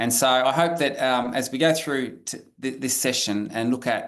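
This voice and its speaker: The background stays quiet. An Australian accent marks this man's speech. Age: 50s. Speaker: professor. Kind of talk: webinar lecture. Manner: halting, many fillers.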